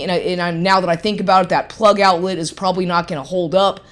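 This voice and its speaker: A woman's animated voice at a medium pitch and a fairly quick pace. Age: 50s. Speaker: personal vlogger. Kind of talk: personal monologue rant.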